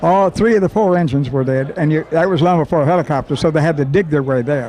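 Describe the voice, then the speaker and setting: A man with a fairly high pitch speaks at a very fast pace over noticeable background noise. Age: 80s+. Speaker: WWII navy veteran. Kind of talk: oral history storytelling. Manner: halting, repetitive.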